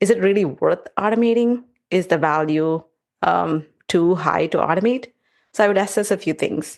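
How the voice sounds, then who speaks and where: With a non-native accent and vocal fry, a woman speaks at a moderate pace, her loudness very even and her pitch variation ordinary. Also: medium pitch for a woman. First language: not English. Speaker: test automation engineer. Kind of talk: podcast interview. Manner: halting.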